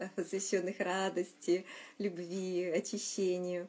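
Her pitch sits in the medium range for a woman. The delivery is monotone and flat. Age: 40s. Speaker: meditation leader. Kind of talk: guided meditation.

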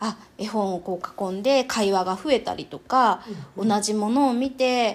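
The clip has an ordinary speaking voice from a woman. She keeps a moderate pace and ordinary pitch variation. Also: fairly high pitch for a woman. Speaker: wedding MC and picture-book specialist. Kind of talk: casual interview.

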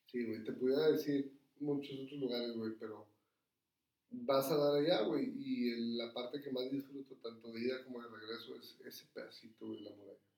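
A man speaks at a medium pitch with fairly even intonation. His loudness rises and falls in big swings. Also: moderate pace. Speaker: restaurant owner. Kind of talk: casual chat.

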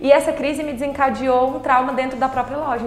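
Over noticeable background noise and audible room echo, a woman talks very fast in a high, monotone voice with flat intonation. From Brazil, Tocantins (Palmas). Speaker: entrepreneur. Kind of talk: casual interview.

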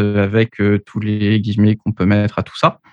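With a plain, everyday voice, a man of medium pitch speaks at a fairly slow pace in a dry, close sound with no echo against a quiet background. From Paris, France. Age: 30s. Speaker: engineer and author. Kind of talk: podcast interview.

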